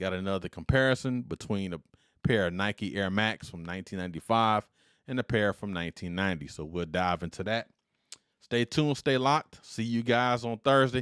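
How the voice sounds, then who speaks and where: Dry and close with no echo on a very clean recording with a silent background, a man's fairly low voice carries an animated tone and ordinary pitch variation. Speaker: podcast host and retired army veteran. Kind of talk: solo podcast commentary.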